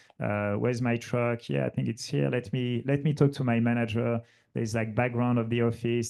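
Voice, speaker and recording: Speaking at a fairly quick pace, a man with a French accent holds a medium pitch. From France. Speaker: logistics executive, panelist. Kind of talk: panel discussion. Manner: animated, casual with many fillers.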